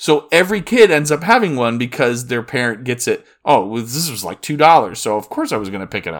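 With a normal speaking voice, this man with an American accent talks at a fairly quick pace and medium pitch, with lively intonation, big swings in loudness and hardly any pauses. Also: very clean recording, silent background. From Florida. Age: 40s. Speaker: podcast host. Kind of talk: solo news podcast.

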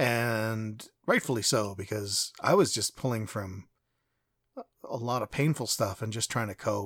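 An unremarkable speaking voice moves at a fairly slow pace with ordinary pitch variation. The sound is dry and close, with no echo. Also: man, medium pitch for a man, very clean recording, silent background. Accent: Canadian. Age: 40s. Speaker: podcast host. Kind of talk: personal monologue.

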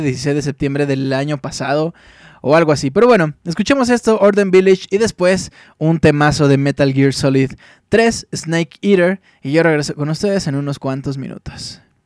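A man with a fairly high pitch and ordinary pitch variation speaks at a moderate pace in a very clean recording with a silent background and a dry, close sound with no echo. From Mexico, Chihuahua. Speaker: radio host. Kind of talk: live music show chat. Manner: animated.

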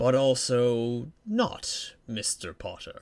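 A man performs in a put-on character voice. His pitch sits at a medium level. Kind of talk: fantasy audiobook character voice. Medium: read story. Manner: soft, deliberate, mysterious.

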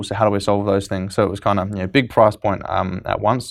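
A man speaks with an Australian accent at a very fast pace. The background is quiet. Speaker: startup co-founder and CEO. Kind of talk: casual interview chat. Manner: fast talker.

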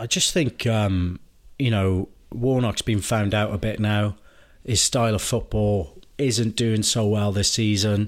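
On a very clean recording with a silent background, a man with a Welsh accent speaks at a fairly slow pace with a fairly low pitch, fairly even intonation and very even loudness. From Wales. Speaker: football podcast co-host. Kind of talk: casual chat.

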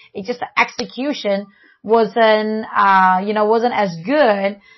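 The speaker has a Chinese accent. The intonation stays fairly even. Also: woman. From China. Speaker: family podcast co-host. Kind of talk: casual chat.

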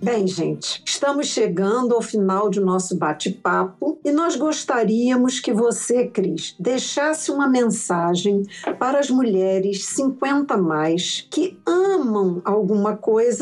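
Over noticeable background noise, a woman talks very slowly with hardly any pauses. Her pitch is fairly high and her loudness very even. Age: 60s. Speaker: podcast co-host, travel blogger. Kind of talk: casual interview chat.

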